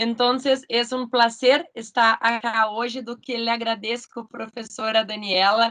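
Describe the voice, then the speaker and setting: Speaking with a Portuguese accent, a woman uses a fairly high pitch and fairly even intonation. Her pace is very slow. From Brazil. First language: Portuguese (speaking Spanish). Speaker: law school coordinator. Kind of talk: formal video conference introduction. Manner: halting.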